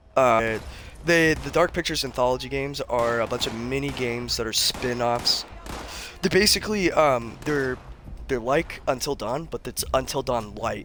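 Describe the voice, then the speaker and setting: At a moderate pace, a man speaks with medium pitch and ordinary pitch variation over noticeable background noise. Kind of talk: casual chat. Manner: casual, filler-heavy.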